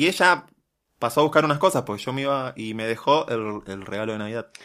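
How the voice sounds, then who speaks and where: A man speaks with ordinary pitch variation. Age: 30s. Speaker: podcast co-host. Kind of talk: casual chat.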